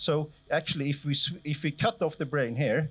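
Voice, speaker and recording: A man's somewhat breathy voice. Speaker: professor. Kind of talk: lecture. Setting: lecture hall with audience. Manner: fast.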